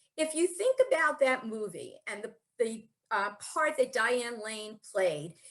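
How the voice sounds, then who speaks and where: With an ordinary speaking voice, a woman talks at a fairly high pitch and with lively intonation. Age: 60s. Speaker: spiritual speaker. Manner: conversational.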